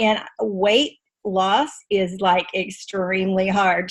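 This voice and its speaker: A woman speaks at a very slow pace and medium pitch. Her voice is somewhat breathy. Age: 60s. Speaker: webinar participant sharing results. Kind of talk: testimony.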